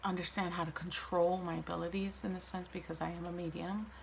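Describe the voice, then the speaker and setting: Audible room echo and noticeable background noise accompany a woman as she speaks. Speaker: vlogger sharing mental health story. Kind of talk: personal testimony monologue.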